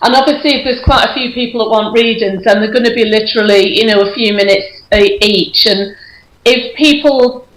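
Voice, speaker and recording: Amid audible room echo and noticeable background noise, a woman talks at a fairly quick pace. Her fairly high voice keeps a fairly even intonation. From northwest England, Runcorn, Cheshire. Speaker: clairvoyant medium. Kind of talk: casual chat. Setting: Skype call.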